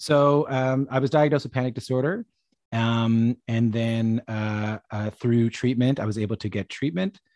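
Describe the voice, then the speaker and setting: The voice moves at a moderate pace with ordinary pitch variation over a quiet background. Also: man, medium pitch for a man. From Newfoundland, Canada (St. John's). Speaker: musician and radio broadcaster. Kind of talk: interview. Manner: halting, many fillers and repetitions.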